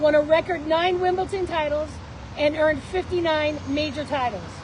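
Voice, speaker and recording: A high-pitched woman with an American accent at a moderate pace, with noticeable background noise. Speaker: political candidate and business owner. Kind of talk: rally speech. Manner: loud.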